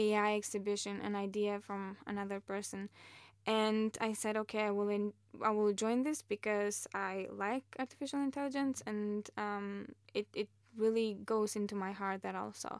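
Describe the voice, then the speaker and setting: On a very clean recording with a silent background, a woman of medium pitch with a non-native accent speaks in a monotone, flat intonation. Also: moderate pace. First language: not English. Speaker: master's student in AI. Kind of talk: interview.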